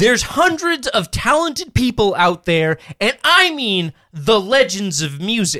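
The voice is raised and projected, bright and sharp in tone, moving at a fairly slow pace. Its pitch swings very widely, and the sound is dry and close with no echo. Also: man, high pitch for a man. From Alaska. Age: 30s. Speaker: podcast co-host. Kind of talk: casual chat.

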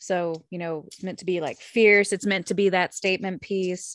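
A woman with an American accent talks in a plain, everyday voice at a medium pitch, keeping a moderate pace and fairly even intonation. The sound is dry and close with no echo, against a quiet background. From Oklahoma. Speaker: podcast co-host. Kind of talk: casual chat.

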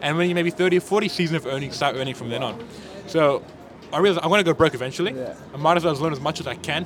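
Speaking very fast in an animated tone, a man has a fairly high pitch. Noticeable background noise runs underneath. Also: ordinary pitch variation. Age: 20s. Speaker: food truck owner. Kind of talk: casual chat.

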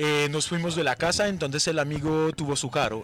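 A man speaks at a fairly quick pace in a French accent, his pitch fairly high. Noticeable background noise can be heard. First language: French (speaking Spanish). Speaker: cannabis brand representative. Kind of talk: casual chat. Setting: at a festival event.

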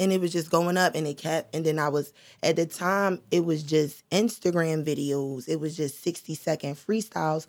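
A woman speaks at a moderate pace with a very deep, low pitch and fairly even intonation, hardly pausing, on a very clean recording with a silent background. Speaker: rapper. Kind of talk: casual chat.

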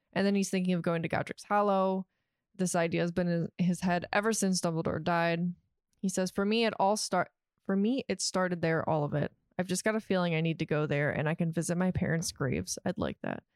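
In an ordinary speaking voice, a woman talks at a fairly quick pace and fairly low pitch with fairly even intonation and very even loudness, on a very clean recording with a silent background that sounds dry and close with no echo. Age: 30s. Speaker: podcast co-host. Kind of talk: casual chat.

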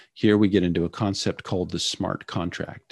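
In an American accent, a man with a very deep, low pitch speaks at a moderate pace, with a dry, close sound with no echo and a quiet background. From California. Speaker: startup founder and former Marine. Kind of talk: interview.

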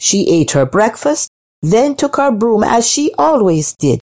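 In a quiet setting, the speaker uses a natural reading voice.

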